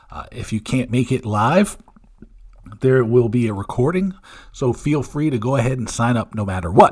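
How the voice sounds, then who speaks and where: Somewhat breathy, a man's voice moves at a moderate pace with ordinary pitch variation. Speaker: podcast host. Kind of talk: podcast outro. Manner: stumbling.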